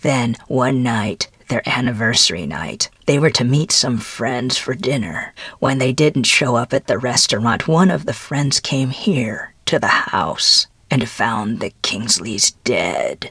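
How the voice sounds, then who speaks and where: The pace is fairly slow. A man delivers it at a medium pitch. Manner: matter-of-fact.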